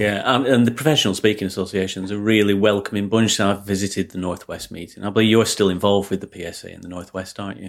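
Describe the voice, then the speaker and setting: With a Lancashire accent, a man with a fairly low pitch speaks at a very fast pace with hardly any pauses, fairly even intonation and big swings in loudness. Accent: Lancashire (Bolton). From northern England. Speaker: podcast host, business coach. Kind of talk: interview.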